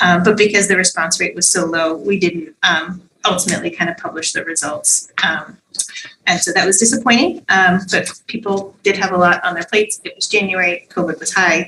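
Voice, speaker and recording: A woman talks at a fairly quick pace with a medium pitch. Her intonation stays fairly even. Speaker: school superintendent. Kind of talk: formal meeting presentation. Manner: fast; many fillers (um, uh).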